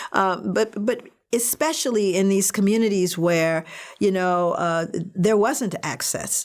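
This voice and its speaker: A woman at a medium pitch, with ordinary pitch variation and a fairly slow pace. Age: 60s. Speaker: nonprofit founder, parenting model author. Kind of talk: virtual fundraiser speech. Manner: halting, many fillers.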